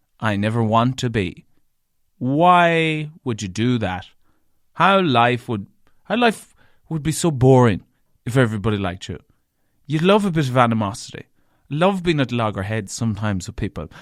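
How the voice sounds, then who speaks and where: In a strong Irish accent, a man of medium pitch talks at a moderate pace, his pitch swinging very widely. There are long, frequent pauses, and the recording is very clean with a silent background. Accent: thick Irish. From Ireland, County Leitrim. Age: 30s. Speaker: radio broadcaster and podcaster. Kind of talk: solo podcast monologue. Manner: chatty.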